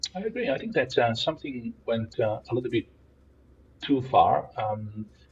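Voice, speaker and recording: A man talks with an Italian accent. His pace is moderate. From Italy. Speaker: philosopher and professor. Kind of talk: podcast interview.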